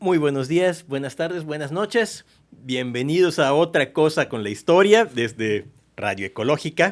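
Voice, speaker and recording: A man's fairly high voice at a fairly slow pace, with very wide pitch swings, in a very clean recording with a silent background. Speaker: radio host, historian. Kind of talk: radio podcast conversation about history. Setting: radio booth studio.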